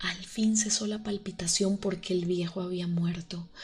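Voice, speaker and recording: Her voice sits at a medium pitch, and she moves along at a moderate pace. The woman's intonation stays monotone and flat. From Colombia. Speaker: ASMR creator. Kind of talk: horror story reading. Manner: soft-spoken.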